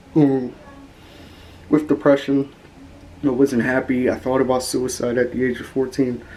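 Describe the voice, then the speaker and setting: Amid noticeable background noise, a man at a medium pitch speaks monotonously with flat intonation at a moderate pace, leaving long, frequent pauses. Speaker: YouTuber. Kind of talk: personal vlog testimony. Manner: monotone; flat, low-energy.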